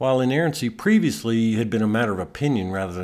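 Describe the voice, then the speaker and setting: Recorded very cleanly against a silent background, a man with an American accent and an ordinary speaking voice talks at a medium pitch with lively intonation. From Texas (Amarillo). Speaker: podcast host, author. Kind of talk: scripted narration of a personal essay.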